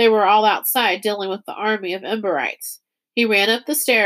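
Against a quiet background, the text is read aloud in a natural voice with fairly even intonation.

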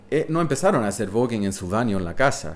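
This man's pitch swings very widely as he talks at a moderate pace. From New York City. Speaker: witness of 1980s New York nightlife. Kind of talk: casual interview.

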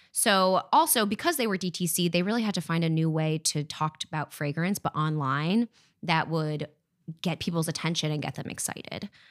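With an American accent, a woman talks at a fairly quick pace in a plain, everyday voice, fairly low in pitch with ordinary pitch variation, in a dry, close sound with no echo. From France, raised in US. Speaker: fragrance development manager.

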